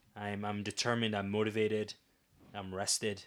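Fairly low-pitched man, fairly quick pace, flat monotone intonation. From Ottawa, Canada. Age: 30s. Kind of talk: interview. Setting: studio.

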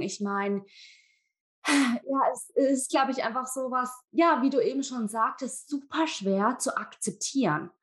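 Her pitch is high, and her intonation is lively. The woman talks at a fairly slow pace. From Germany. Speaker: guest podcast host. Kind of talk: casual interview.

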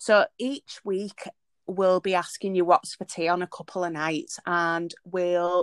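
A woman with a Yorkshire accent and a fairly low pitch speaks at a very slow pace with fairly even intonation, the sound dry and close with no echo on a very clean recording with a silent background. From Leeds, Yorkshire, northern England. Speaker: podcast co-host. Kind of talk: casual chat.

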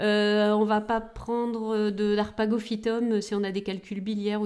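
A woman talks at a fairly high pitch. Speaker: pharmacist, podcast co-host. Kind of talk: casual explanatory chat.

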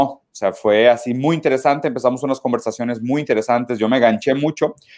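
Very fast speech comes from a man. His medium pitch shows ordinary pitch variation. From southern Brazil (Caxias do Sul). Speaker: philosophy commentator. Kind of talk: casual interview chat.

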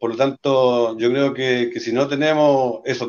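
Delivered at a moderate speed, the speech stays monotone and flat in intonation. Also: man. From Chile, Talca. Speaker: regional party leader. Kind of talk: casual chat.

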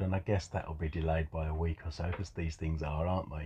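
A man speaks with an English accent in a dark, mellow tone that is somewhat breathy. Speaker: podcast co-host. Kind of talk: casual chat.

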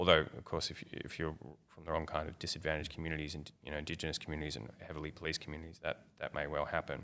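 A man's very deep, low voice with an Australian accent, bright and sharp in tone, monotone and flat, with big swings in loudness at a very fast pace. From Australia, Melbourne. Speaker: academic researcher on darknet drug markets. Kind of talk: interview. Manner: hesitant with many fillers.

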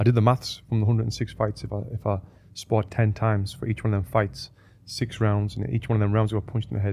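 Speaking very fast, a man uses a fairly low, dark, mellow voice that is somewhat breathy, with fairly even intonation. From northeast England. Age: 30s. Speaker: boxing coach and former Olympic boxer. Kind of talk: casual interview chat. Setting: studio.

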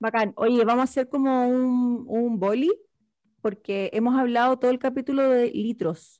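A woman with a Chilean accent talks at a fairly slow pace in a high voice with a dark, mellow tone, fairly even intonation and very even loudness, captured in a very clean recording against a silent background. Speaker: podcast co-host. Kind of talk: casual chat.

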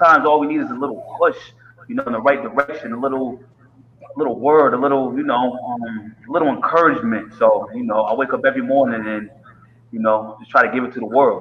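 A man with an American accent at a medium pitch, ordinary pitch variation, a very fast pace, big swings in loudness, and noticeable background noise. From Connecticut, US. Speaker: fitness trainer and success coach. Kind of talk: interview. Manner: animated.

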